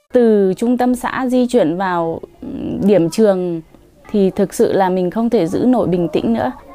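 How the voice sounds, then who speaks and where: A woman of medium pitch talks at a fairly slow pace with ordinary pitch variation while music plays in the background. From northern Vietnam, Tuyên Quang. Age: 30s. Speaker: village school teacher. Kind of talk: interview testimony.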